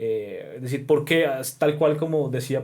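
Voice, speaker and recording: This man speaks at a moderate pace with a fairly high pitch, a dark, mellow tone and fairly even intonation. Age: 30s. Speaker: professor. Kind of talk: casual chat. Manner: halting.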